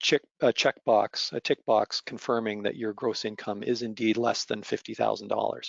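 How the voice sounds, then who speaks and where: A man with a medium pitch talks at a moderate speed. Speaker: association treasurer presenting. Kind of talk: webinar presentation. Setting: online webinar. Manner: hesitant, many fillers.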